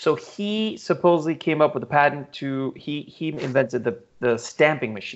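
A plain, everyday voice: a man at a fairly high pitch, moderate pace and lively intonation. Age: 30s. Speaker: podcast host and supercar dealer. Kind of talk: casual chat.

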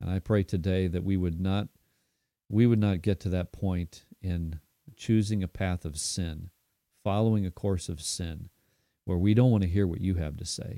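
A man with an American accent and a very deep, low pitch speaks at a moderate pace in a dark, mellow tone with fairly even intonation, the sound dry and close with no echo. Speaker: pastor. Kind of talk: devotional Bible reflection. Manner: halting.

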